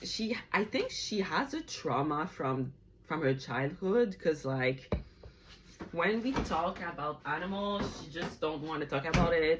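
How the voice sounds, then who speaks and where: A woman talks with a Quebec accent and lively intonation. Noticeable noise sits in the background. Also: fairly low pitch for a woman, fairly slow pace. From Montreal, Quebec. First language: French. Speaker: vlogger. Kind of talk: casual vlog chat. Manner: hesitant, frequent fillers.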